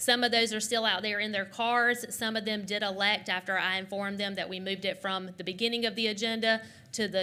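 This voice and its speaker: A woman with an American accent, bright and sharp in tone, fairly quick and monotone, on a very clean recording with a silent background. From US South, South Carolina. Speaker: public commenter at council meeting. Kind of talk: public comment. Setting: council meeting room. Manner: fast.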